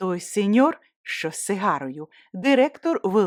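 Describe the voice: Over a quiet background, the plain reading aloud moves with lively intonation.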